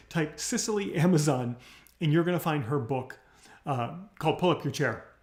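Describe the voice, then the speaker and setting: Somewhat breathy and fairly high-pitched, a man speaks with lively intonation. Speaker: business coach. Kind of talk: livestream tutorial. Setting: live video stream. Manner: fast; animated.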